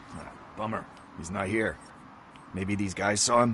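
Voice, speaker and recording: A man puts on a raspy character voice, fairly low in pitch, at a moderate pace against clear background noise. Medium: video game. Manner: casual, joking.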